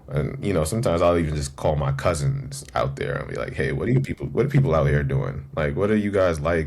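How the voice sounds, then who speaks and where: With a New York accent, a man with a very deep, low voice speaks at a fairly quick pace with ordinary pitch variation, amid noticeable background noise and audible room echo. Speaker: event business co-founder. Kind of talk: podcast interview. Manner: casual, filler-heavy.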